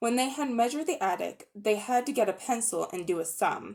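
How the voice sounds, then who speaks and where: A woman's ordinary speaking voice, lively intonation, moderate pace. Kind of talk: dramatic audiobook reading for children.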